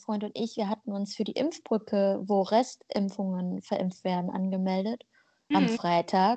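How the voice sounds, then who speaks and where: At a fairly slow pace, a woman speaks in a plain, everyday voice. Her pitch is medium, with ordinary pitch variation. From Germany, with migration background. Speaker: podcast co-host. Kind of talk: casual chat.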